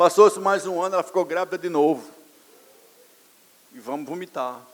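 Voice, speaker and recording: This man talks at a fairly quick pace. His pitch is high, with ordinary variation. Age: 60s. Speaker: pastor. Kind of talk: sermon. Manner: animated.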